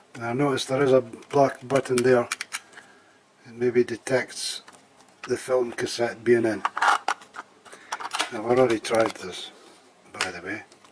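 Fairly slow speech broken by long, frequent pauses, with noticeable background noise. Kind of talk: casual tutorial commentary. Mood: resigned, matter-of-fact. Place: home room. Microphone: phone near.

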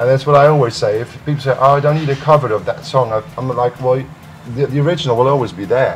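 A man with a Dutch accent at a fairly quick pace, ordinary pitch variation, and music in the background. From Netherlands. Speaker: music producer. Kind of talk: interview. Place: home room.

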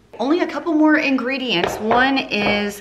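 Here a woman speaks at a moderate pace. Noticeable background noise can be heard. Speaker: home cooking vlogger. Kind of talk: casual cooking tutorial chat. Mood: cheerful, chatty. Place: kitchen.

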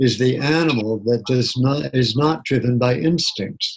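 A man's medium-pitched, somewhat breathy voice with ordinary pitch variation, at a fairly slow pace. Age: 70s. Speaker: psychotherapist and keynote speaker; keynote speaker. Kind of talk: interview. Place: home room. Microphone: webcam.

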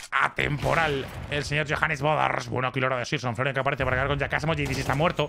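Talking at a very fast pace, the man speaks with vocal fry. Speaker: esports commentator. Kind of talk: live esports commentary. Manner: animated, excitable.

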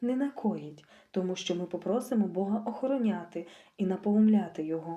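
The recording is plain reading aloud.

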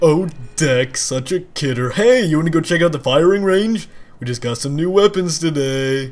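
Speaking at a moderate pace, a man uses a fairly high pitch and lively intonation. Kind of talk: comic overacting. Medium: machinima. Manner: boastful, goofy, hyperactive.

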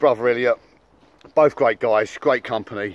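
A man talks at a fairly quick pace with ordinary pitch variation. There is no echo, just a dry sound. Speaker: fitness vlogger. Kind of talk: casual vlog chat. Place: open country. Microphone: phone near.

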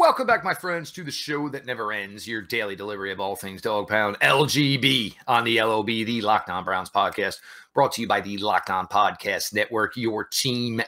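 A man's bright, sharp tone at a moderate pace, with hardly any pauses, ordinary pitch variation and a quiet background. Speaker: podcast host. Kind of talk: podcast intro commentary. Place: home room.

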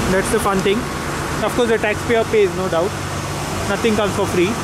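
Fairly quick speech, dry with no echo, over loud background noise. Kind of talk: casual travel commentary. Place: boat. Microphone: phone near.

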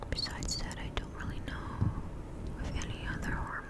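Soft-spoken, a woman delivers her words in a whisper. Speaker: ASMR creator. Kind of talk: soft-spoken ASMR chat about movies. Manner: soft close-mic ASMR whisper. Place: home room. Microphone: studio mic.

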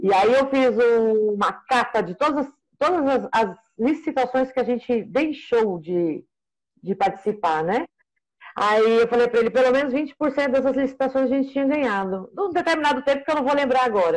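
Her pitch is high for a woman, and her intonation is lively. She speaks at a moderate pace against a quiet background. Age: 40s. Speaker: procurement analyst. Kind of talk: casual consultation. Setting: video call. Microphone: video call.

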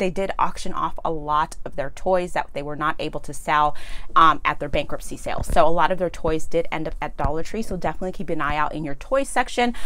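At a very fast pace, a woman speaks with a fairly low pitch and ordinary pitch variation. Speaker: shopping vlogger. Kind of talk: casual vlog chat. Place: home room. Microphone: lapel.

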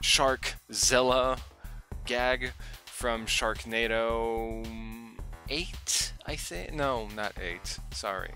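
Faint music plays behind a man who speaks very slowly with long, frequent pauses, the sound dry with no echo. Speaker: vlogger. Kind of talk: casual vlog chat. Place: home room. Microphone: headset.

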